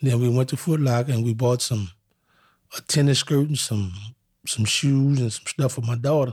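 Against a silent background in a very clean recording, a man speaks at medium pitch and a moderate pace, somewhat breathy, with ordinary pitch variation. He pauses long and often. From New Orleans, Louisiana. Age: 40s. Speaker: wrongfully accused interviewee. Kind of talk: testimony.

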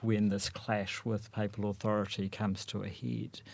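Fairly slow and fairly low, a man's voice has a dark, mellow tone. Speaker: university lecturer in religious studies. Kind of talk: panel discussion.

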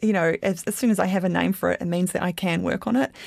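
A woman speaks at a very fast pace in a New Zealand accent. The recording is very clean, with a silent background. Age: 30s. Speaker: interviewee sharing personal experience. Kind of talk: personal interview.

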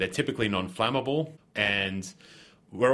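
In an Australian accent, a man talks at a moderate pace with lively intonation. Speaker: chemist. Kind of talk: interview.

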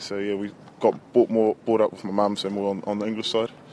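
A man speaks with a New Zealand accent. His pace is very fast. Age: 20s. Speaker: professional rugby player. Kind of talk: interview. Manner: hesitant, laid-back.

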